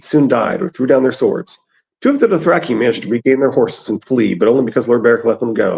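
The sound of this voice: In quiet surroundings, an unforced reading voice carries the text.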